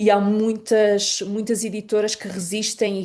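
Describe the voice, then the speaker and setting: A woman's medium-pitched voice with a dark, mellow tone against a quiet background. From Portugal, Lisbon. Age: 30s. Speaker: poet and writer. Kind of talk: interview. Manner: halting, many fillers and repetitions.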